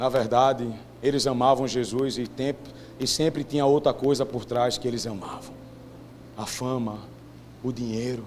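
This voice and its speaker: A man speaks with fairly even intonation and long, frequent pauses, his voice carrying audible room echo. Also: medium pitch for a man, fairly slow pace. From Brazilian Northeast. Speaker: preacher. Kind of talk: sermon.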